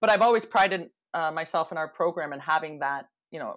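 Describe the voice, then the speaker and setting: A woman with a Canadian accent talks at a fairly quick pace in a fairly low pitch, with ordinary pitch variation and an unremarkable speaking voice. The recording is very clean, with a silent background. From Canada (Toronto). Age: 40s. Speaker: hockey coach. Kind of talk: casual interview.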